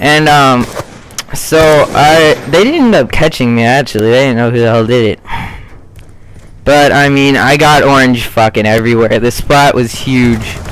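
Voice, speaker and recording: With noticeable background noise behind him, a man speaks at a moderate pace and very even loudness. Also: medium pitch for a man, ordinary pitch variation. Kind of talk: casual gameplay commentary.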